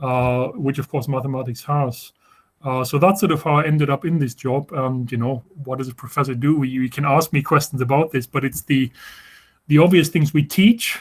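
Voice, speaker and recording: The speaker has a German accent and a somewhat breathy voice. The pace is fairly quick, with ordinary pitch variation. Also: man, fairly high pitch for a man. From Germany. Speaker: professor. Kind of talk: informal talk to students. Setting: video call. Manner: halting, many repetitions and fillers.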